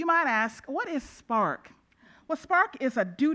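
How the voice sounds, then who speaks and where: A loud woman's voice, bright and sharp in tone, fairly slow, with lively intonation. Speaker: judge and conference chair. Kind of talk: introductory speech to conference audience. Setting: stage with audience.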